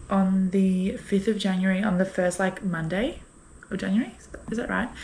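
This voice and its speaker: In an Australian accent, the voice comes across somewhat breathy. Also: woman. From Brisbane, Australia. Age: 20s. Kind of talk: casual vlog talk to camera. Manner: chatty, rambling.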